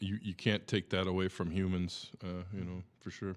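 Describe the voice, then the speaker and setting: A man with an Upper Midwest accent speaks at a fairly quick pace. His pitch is fairly low, and the recording is very clean with a silent background. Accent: Upper Midwest American (Michigan). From Michigan, Bay City area. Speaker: musician. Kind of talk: casual chat.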